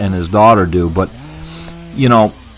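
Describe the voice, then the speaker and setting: A man's voice with ordinary pitch variation comes through noticeable background noise. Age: 70s. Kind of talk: casual vlog talk to camera. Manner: halting, with many restarts.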